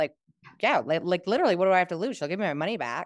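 An ordinary speaking voice from a woman, fairly low in pitch, with lively intonation and a dry, close sound with no echo. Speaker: program alum. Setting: video call.

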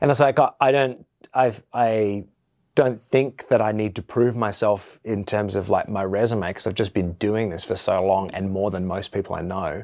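On a very clean recording with a silent background, a man with an Australian accent speaks at a moderate pace, his fairly low pitch showing ordinary variation. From Perth, Western Australia. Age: 30s. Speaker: metal band bassist. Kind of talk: interview monologue, casual. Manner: halting, many fillers and repetitions.

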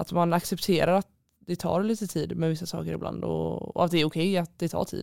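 Her pitch fairly low, a woman talks at a moderate pace. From Sweden, Stenungsund (west coast). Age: 20s. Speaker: handball player, team captain. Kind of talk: interview. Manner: hesitant, many fillers.

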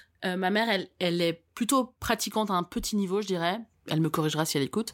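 A woman's animated, very fast delivery with ordinary pitch variation, on a very clean recording with a silent background. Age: 30s. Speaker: podcast host. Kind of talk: casual chat. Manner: animated, laughing often.

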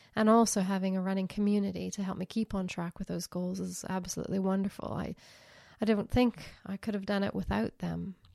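Over a very clean recording with a silent background and a dry, close sound with no echo, a woman speaks at medium pitch with a dark, mellow tone and monotone, flat intonation. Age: 50s. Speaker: podcast host. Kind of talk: casual monologue.

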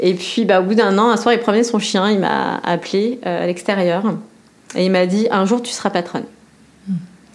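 With audible room echo, a woman speaks at a moderate pace with ordinary pitch variation. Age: 40s. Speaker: restaurant entrepreneur. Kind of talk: casual chat. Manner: hesitant with many fillers.

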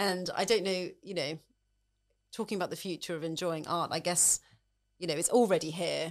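With a British accent, a woman speaks at a fairly low pitch with fairly even intonation and long, frequent pauses, on a very clean recording with a silent background. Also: moderate pace. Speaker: podcast host. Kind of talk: interview conversation.

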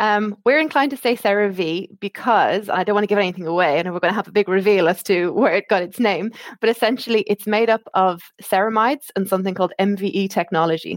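Speaking at a very fast pace in an Irish accent, a woman keeps a medium pitch with ordinary pitch variation, the sound dry and close with no echo. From Ireland. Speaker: skincare brand medical marketing manager. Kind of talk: casual interview chat. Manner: many filler words and restarts.

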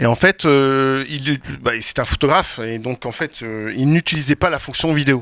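In a dry, close sound with no echo, a man with an unremarkable speaking voice talks at a fairly slow pace in a medium pitch with ordinary pitch variation. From France, Champagne-Ardenne. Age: 40s. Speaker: wedding filmmaker. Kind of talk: panel discussion. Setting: stage with audience.

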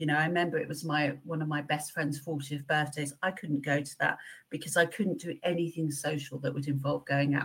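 Breathy to some degree, a woman speaks in a very deep, low voice with monotone, flat intonation at a fairly quick pace. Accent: English. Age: 50s. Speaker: pharmaceutical company manager. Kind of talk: interview.

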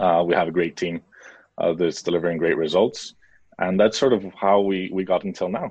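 Against a quiet background, a man with an American accent speaks at a very deep, low pitch with fairly even intonation. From international upbringing: Mexico, US, Spain, Switzerland. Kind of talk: interview.

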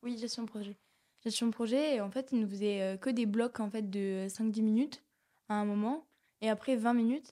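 A woman speaks at a moderate pace with a fairly high pitch. Her tone is dark and mellow, and her intonation stays fairly even. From southern France, Aveyron (Rodez). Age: 20s. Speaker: work-study student. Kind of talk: casual chat.

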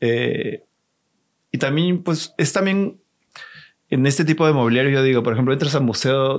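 A man with a medium pitch and ordinary pitch variation speaks at a moderate pace over a quiet background. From Peru, Lima. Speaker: exhibition designer. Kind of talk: casual interview.

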